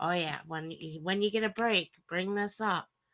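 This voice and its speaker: In a Wisconsin accent, a woman speaks at a moderate pace with a bright, sharp tone, the background quiet. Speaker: livestream co-host. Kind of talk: casual chat.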